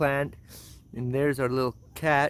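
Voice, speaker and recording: This is a man's voice. His pitch is fairly high. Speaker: home gardener vlogger. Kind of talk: garden tour vlog. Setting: outdoors in garden. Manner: halting, repeats words.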